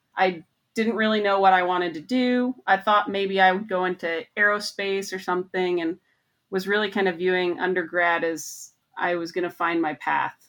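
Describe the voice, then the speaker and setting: A woman with an American accent speaks in an unremarkable speaking voice at medium pitch, with fairly even intonation. She keeps a moderate pace on a very clean recording with a silent background. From Montana, US. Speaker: research mechanical engineer. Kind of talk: interview.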